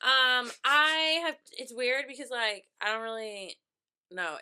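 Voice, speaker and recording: A woman speaks loudly in an animated, bright, sharp tone. The recording is very clean with a silent background. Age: 30s. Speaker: podcast co-host. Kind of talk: casual chat.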